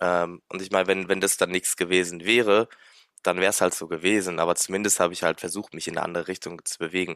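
Very deep, low male voice, monotone and flat, at a very fast pace, with a dry, close sound with no echo on a very clean recording with a silent background. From Luxembourg. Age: 20s. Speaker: music student and drummer running an online business. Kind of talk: interview. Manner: casual, many fillers.

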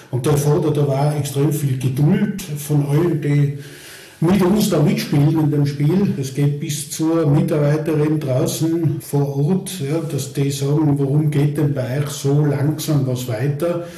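Noticeable background noise and audible room echo fill the recording. Through them, a man talks with fairly even intonation. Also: fairly high pitch for a man, fairly slow pace. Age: 60s. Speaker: charity executive. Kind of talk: interview.

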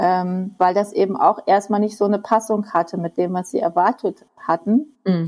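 Hardly pausing, a woman speaks at a moderate pace. Her medium pitch carries fairly even intonation. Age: 50s. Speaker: teacher. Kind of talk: interview. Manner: halting.

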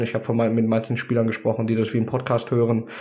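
A man's medium-pitched voice, dark and mellow in tone. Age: 30s. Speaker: American football coach. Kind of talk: podcast interview. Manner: carrying, audible across a field.

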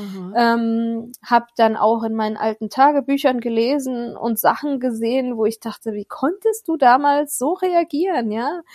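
The speech comes at a fairly slow pace with hardly any pauses and ordinary pitch variation, in a dry, close sound with no echo on a very clean recording with a silent background. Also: woman, high pitch for a woman. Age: 40s. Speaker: mother of two, separated from ex-partner. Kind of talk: interview testimony. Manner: halting, many fillers.

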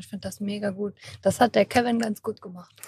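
At a fairly quick pace, a woman of medium pitch talks in a monotone, flat way, with a dry, close sound and no echo. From Germany, Kassel. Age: 20s. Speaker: patient with rare neuromuscular disease. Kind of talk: interview. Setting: recorded at an event.

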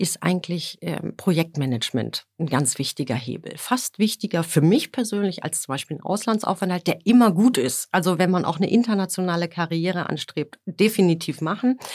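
In a very clean recording with a silent background, a woman talks at a moderate pace in a fairly low pitch, the sound dry and close with no echo. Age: 50s. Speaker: energy company HR executive. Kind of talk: business interview. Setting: podcast studio. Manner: hesitant fillers.

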